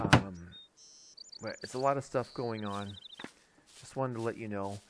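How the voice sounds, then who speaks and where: His pitch is medium. This man's intonation stays fairly even. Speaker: gaming YouTuber. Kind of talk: casual channel update. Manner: halting, many fillers.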